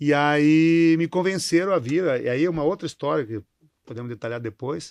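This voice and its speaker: Speaking fairly quickly, a man talks with a southern Brazilian accent. His pitch varies in the usual way against a quiet background. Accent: gaúcho. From southern Brazil (Rio Grande do Sul). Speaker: company CEO. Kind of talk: interview. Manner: halting, repeats words.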